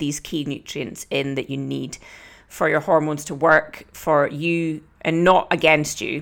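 A woman's very deep, low voice with a Scottish accent at a moderate pace. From Scotland. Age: 30s. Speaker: podcast host and fitness coach. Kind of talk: solo podcast talk.

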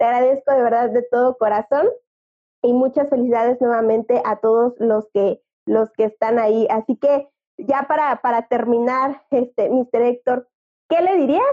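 This woman has a high pitch, ordinary pitch variation and very even loudness, speaking at a moderate pace. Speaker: podcast host. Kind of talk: interview.

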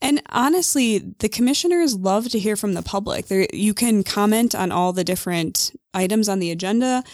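A woman with an American accent speaks at a fairly quick pace and a fairly high pitch. Her intonation is lively, and the recording is very clean with a silent background. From US Midwest, north central Illinois. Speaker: nonprofit associate director. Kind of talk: casual interview.

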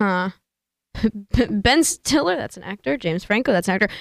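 Over a silent background in a very clean recording, a woman talks at a fairly quick pace with long, frequent pauses and very wide pitch swings, the sound dry and close with no echo. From Northern California. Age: 20s. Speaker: university student and aspiring actress. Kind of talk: casual chat. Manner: articulate.

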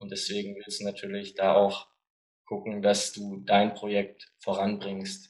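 Delivered at a very slow pace, the speech has monotone, flat intonation and big swings in loudness. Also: man, fairly low pitch for a man. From Germany, Stuttgart. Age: 20s. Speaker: American football franchise manager. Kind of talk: podcast interview.

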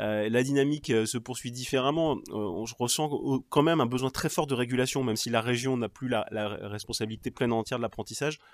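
This man has an ordinary speaking voice, medium in pitch with ordinary variation, and he talks at a fairly quick pace. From Normandy (Cherbourg, Cotentin). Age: 40s. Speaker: regional politician. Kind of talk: interview.

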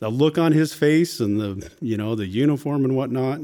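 At a moderate pace, a man with an American accent speaks at a medium pitch with lively intonation and an unremarkable speaking voice. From Washington State, US Pacific Northwest. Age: 50s. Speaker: Marine veteran and small business owner. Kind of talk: casual interview.

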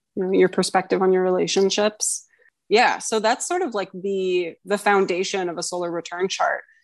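At a moderate pace, a woman talks in a monotone, flat way. Her pitch is medium, and the background is quiet. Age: 20s. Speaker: guest co-host, astrologer. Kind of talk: casual chat.

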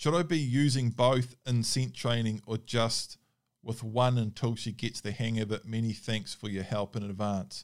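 Recorded very cleanly against a silent background, a man with a New Zealand accent speaks with fairly even intonation. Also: medium pitch for a man, moderate pace. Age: 30s. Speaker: hunting dog trainer. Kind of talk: Q&A monologue. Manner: casual, with hesitations.

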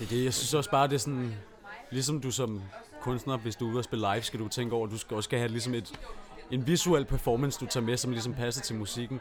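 Against crowd noise in the background, a man talks at a very fast pace in a medium pitch with fairly even intonation. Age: 20s. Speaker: composer and electronic musician. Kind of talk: casual chat. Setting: studio.

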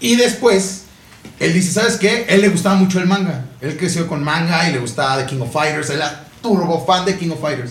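Amid noticeable background noise and audible room echo, a high-pitched man with a Mexican accent talks in an animated tone with lively intonation. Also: moderate pace. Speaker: podcast host. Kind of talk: casual chat.

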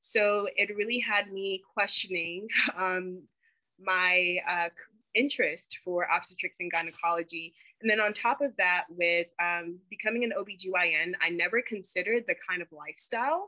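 With an ordinary speaking voice, a woman talks at a moderate pace, her pitch medium and its variation ordinary. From North Carolina (Charlotte), moved from Ghana at six. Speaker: dental student. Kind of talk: interview.

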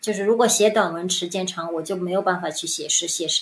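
A woman talks at a medium pitch, her pitch varying in an ordinary way. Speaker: former advertising executive. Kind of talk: interview. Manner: halting.

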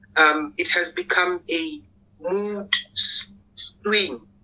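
A man speaks slowly in a high, squeaky voice with a bright, sharp tone and ordinary pitch variation.

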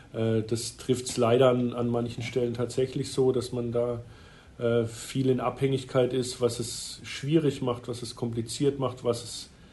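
A man's somewhat breathy voice has a dark, mellow tone, moving at a fairly slow pace in a monotone, flat intonation. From Freiburg, southwest Germany. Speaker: ice hockey club managing director. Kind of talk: interview.

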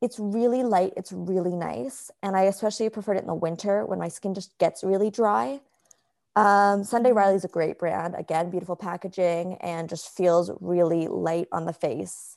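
A woman talks at a moderate pace in an ordinary speaking voice, with medium pitch and ordinary pitch variation. The recording is very clean, with a silent background. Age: 20s. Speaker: podcast co-host. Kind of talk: casual chat.

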